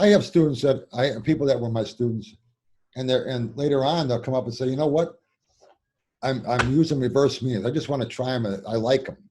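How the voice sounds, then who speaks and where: A man talks very fast in a somewhat breathy voice with a dark, mellow tone. His pitch varies in an ordinary way, and he leaves long, frequent pauses. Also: medium pitch for a man. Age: 60s. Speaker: tarot teacher and author. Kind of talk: interview. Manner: halting, many repetitions.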